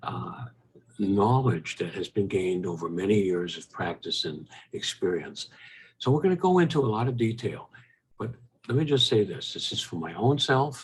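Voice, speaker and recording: A man speaks at medium pitch and a moderate pace. His somewhat breathy voice swings very widely in pitch. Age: 80s+. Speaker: retired physician. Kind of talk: health talk monologue. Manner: halting, frequent fillers.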